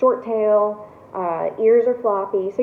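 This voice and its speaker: Over noticeable background noise, the woman's pitch rises and falls in an ordinary way. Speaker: college instructor. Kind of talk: lecture. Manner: casual, with many fillers.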